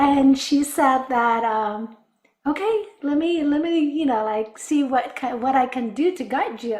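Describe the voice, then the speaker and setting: A woman with an Afghan accent speaks at a fairly slow pace and a high pitch, her intonation lively. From Afghanistan. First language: Dari. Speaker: business development director. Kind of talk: interview testimony.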